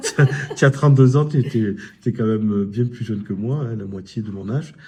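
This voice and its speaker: The voice is somewhat breathy, with a dark, mellow tone. Pitch varies in an ordinary way. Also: man, medium pitch for a man, moderate pace. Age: 60s. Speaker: local channel host. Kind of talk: interview.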